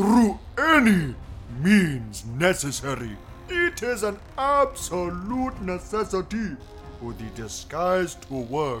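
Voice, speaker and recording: A man puts on a character voice with a high pitch and a pompous, serious tone, speaking at a very slow pace. Clear music plays in the background. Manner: pompous, absurdly serious.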